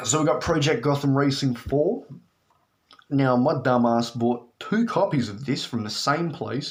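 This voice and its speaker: This man has an Australian accent and a medium pitch with ordinary pitch variation. He speaks at a moderate pace. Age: 20s. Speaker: video game collector. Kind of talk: casual talk to camera. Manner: casual, profane.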